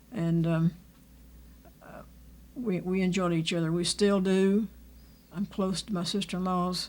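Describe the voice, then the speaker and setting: At a moderate pace, a woman with a Texan accent talks at a fairly low pitch. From Texas, Fort Worth. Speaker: family elder. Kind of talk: oral history interview. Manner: halting.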